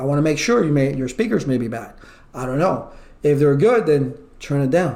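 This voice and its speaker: A man's fairly high-pitched voice, with audible room echo. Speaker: IT certification instructor. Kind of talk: online lecture. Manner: loud; animated.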